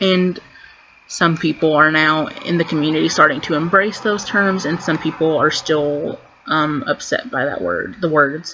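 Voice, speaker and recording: Through noticeable background noise, a woman with a very deep, low pitch talks with ordinary pitch variation. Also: moderate pace. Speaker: queer vlogger. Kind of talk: casual vlog monologue. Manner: stuttering.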